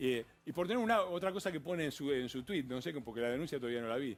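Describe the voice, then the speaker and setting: Speaking with an Argentine accent, a man talks at a very fast pace. His pitch swings very widely. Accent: Argentine Spanish (Rioplatense). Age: 60s. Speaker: politician. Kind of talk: TV interview. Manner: animated.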